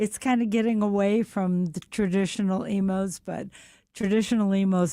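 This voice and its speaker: A woman with an American accent, her dark, mellow tone and fairly even intonation on a very clean recording with a silent background. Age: 80s+. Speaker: pizza restaurant family owner. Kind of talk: radio interview.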